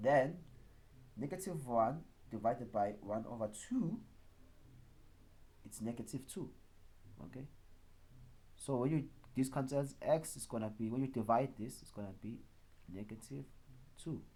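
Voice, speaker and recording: With vocal fry and a dark, mellow tone, a man of medium pitch talks at a moderate pace, with ordinary pitch variation, big swings in loudness and long, frequent pauses. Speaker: maths teacher. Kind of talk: tutorial.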